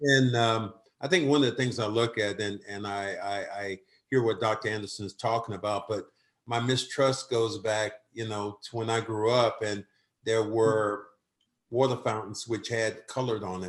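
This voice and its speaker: Against a quiet background, a man with an American accent speaks at a moderate pace and medium pitch. He has a normal speaking voice with fairly even intonation. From US South. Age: 60s. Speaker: community advocate. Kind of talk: panel discussion.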